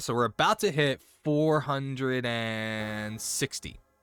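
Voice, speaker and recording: Music plays in the background as a man talks at a medium pitch with lively intonation, in a dry, close sound with no echo. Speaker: streamer. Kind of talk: casual chat. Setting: live stream. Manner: loud.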